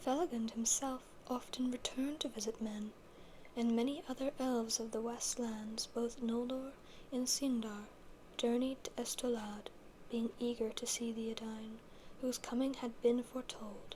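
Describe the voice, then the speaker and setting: Noticeable background noise sits behind speech delivered at a moderate speed. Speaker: ASMR creator reading fantasy literature. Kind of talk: ASMR reading of book passages and commentary. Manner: soft, intimate, rambling.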